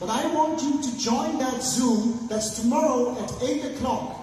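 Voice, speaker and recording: With audible room echo and noticeable background noise, a man speaks at an extremely high pitch with ordinary pitch variation. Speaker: business seminar speaker. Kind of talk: motivational seminar talk. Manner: fast.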